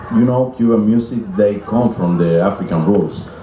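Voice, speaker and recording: Noticeable background noise and audible room echo surround the voice. A man speaks at a moderate pace with ordinary pitch variation. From Cuba. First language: Spanish. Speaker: pianist, musician. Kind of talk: interview on stage. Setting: stage with audience in a tent.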